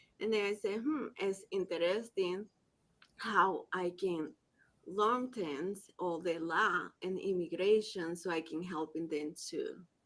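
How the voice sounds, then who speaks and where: A woman with a Spanish accent speaks at a very slow pace, her medium pitch moving with ordinary variation. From Colombia. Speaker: immigration forms preparer. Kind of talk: panel discussion.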